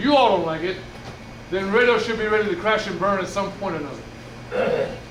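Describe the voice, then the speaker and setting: A man talks loudly in a high pitch with lively intonation. Audible room echo and noticeable background noise are present. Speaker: musician and community speaker. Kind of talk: presentation to seniors. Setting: room with senior audience. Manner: loud, projecting.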